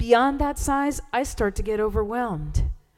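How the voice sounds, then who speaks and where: A woman with music in the background. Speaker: church service leader. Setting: church.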